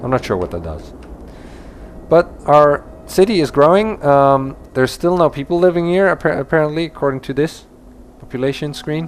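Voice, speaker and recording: There's a man with a Dutch accent speaking at a fairly high pitch. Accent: non-native English, Dutch. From Netherlands. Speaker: gaming YouTuber. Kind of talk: let's play commentary. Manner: halting, many fillers and restarts.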